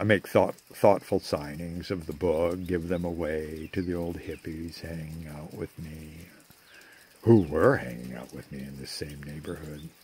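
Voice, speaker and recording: At a fairly slow pace, a man speaks at a very deep, low pitch in a dry sound with no echo. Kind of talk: casual vlog chat. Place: garden. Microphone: phone near.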